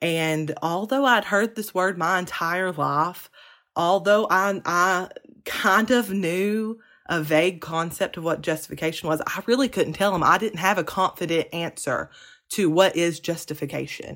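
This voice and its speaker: The recording is very clean, with a silent background. A woman with a fairly low pitch and ordinary pitch variation talks at a fairly slow pace. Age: 20s. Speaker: podcast host. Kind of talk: solo podcast teaching monologue. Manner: hesitant, many ums.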